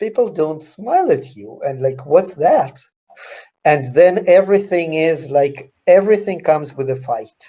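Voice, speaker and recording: In a Russian accent, a man speaks at a fairly high pitch with lively intonation. His tone is dark and mellow, and his loudness swings widely. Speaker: author. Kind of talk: interview Q&A. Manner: halting.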